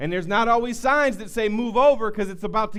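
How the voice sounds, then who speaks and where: Using a high pitch and a Southern US accent, a man speaks at a fairly quick pace in an animated tone, with audible room echo. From US South. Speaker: pastor. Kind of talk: sermon. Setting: church. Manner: animated, building intensity; repetitive stammering restarts.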